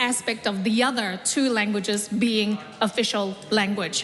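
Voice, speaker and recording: A woman with a non-native accent, amid noticeable background noise. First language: not English. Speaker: member of parliament. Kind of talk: parliamentary speech.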